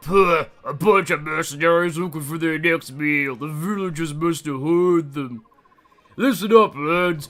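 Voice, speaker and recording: Putting on a character voice, a man talks at a high pitch and a moderate pace. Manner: silly.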